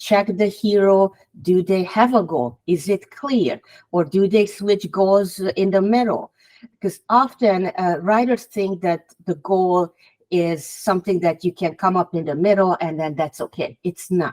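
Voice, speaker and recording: In a Hungarian accent, someone speaks at a fairly slow pace with ordinary pitch variation on a very clean recording with a silent background. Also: woman, medium pitch for a woman. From Hungary. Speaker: author. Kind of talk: podcast interview.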